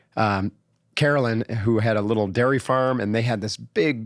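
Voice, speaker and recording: The sound is dry and close, with no echo. A man with an unremarkable speaking voice speaks at a medium pitch with fairly even intonation. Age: 60s. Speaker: former Navy SEAL, entrepreneur and coach. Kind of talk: podcast interview.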